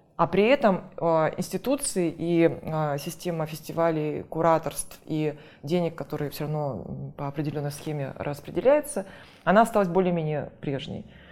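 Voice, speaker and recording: This woman talks at a moderate pace in an ordinary speaking voice, with ordinary pitch variation. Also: fairly low pitch for a woman. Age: 40s. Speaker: theatre critic and curator. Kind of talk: casual interview.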